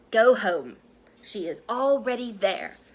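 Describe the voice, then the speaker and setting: A woman uses a put-on character voice at a fairly high pitch. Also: fairly slow pace. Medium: read story. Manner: terse.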